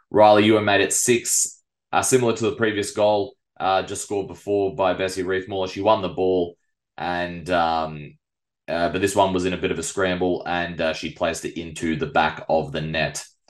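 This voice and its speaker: An Australian accent at a moderate pace, with ordinary pitch variation against a quiet background. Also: man, very deep, low pitch for a man. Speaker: local football podcast host. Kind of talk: sports review podcast.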